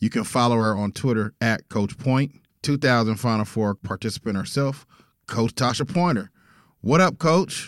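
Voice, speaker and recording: This is a man with an American accent and a plain, everyday voice, speaking at a moderate pace and medium pitch. His pitch varies in an ordinary way, and the recording is very clean with a silent background. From Texas. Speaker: podcast host. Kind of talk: casual interview chat; scripted show intro. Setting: studio.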